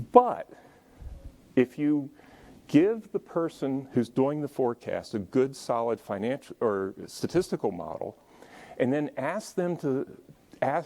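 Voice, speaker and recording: The recording is very clean, with a silent background. A man with a fairly high pitch and a dark, mellow tone uses lively intonation and long, frequent pauses. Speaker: business consultant presenting at a conference. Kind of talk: conference presentation. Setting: conference room with live audience.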